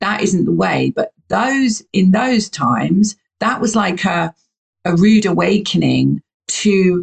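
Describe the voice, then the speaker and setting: The sound is dry and close, with no echo. The speaker has a British accent. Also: woman. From UK. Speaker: podcast host. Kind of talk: casual interview chat. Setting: recording from home by the sea.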